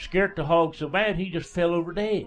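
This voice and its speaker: A high-pitched man in a Southern Appalachian accent, at a fairly slow pace, with music in the background. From East Tennessee, Smoky Mountains foothills. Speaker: radio DJ and storyteller. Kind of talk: folk tale storytelling. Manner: folksy, casual.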